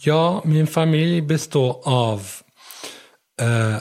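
A man talks with ordinary pitch variation. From Syria. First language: Arabic (speaking Swedish). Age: 20s. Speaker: blind rider. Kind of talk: interview. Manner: halting.

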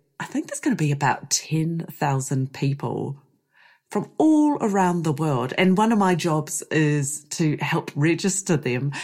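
On a very clean recording with a silent background, a woman with a very deep, low pitch speaks at a fairly slow pace in a New Zealand accent, with ordinary pitch variation. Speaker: podcast host and avocado orchard grower. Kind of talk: solo podcast monologue.

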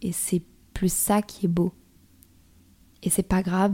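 A woman speaks at a moderate pace in a fairly low, somewhat breathy voice with a dark, mellow tone and flat, monotone intonation. The sound is dry and close with no echo, and the recording is very clean against a silent background. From northern France. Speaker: podcast host. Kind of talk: personal monologue.

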